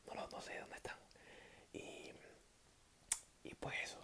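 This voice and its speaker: A man whispers at a fairly quick pace in a relaxed tone. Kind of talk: casual talk to camera, greeting viewers. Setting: talking to camera, explaining abstract algebra. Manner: soft-spoken, relaxed, improvised.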